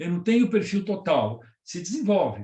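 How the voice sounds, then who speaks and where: A man's high voice with ordinary pitch variation. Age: 70s. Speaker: professor and lecturer on leadership. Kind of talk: lecture with audience Q&A. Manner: conversational.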